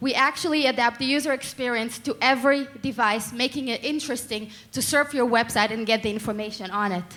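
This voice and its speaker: A woman talks at a fairly quick pace in a high pitch. Her pitch variation is ordinary. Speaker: startup co-founder. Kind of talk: startup pitch. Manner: fast.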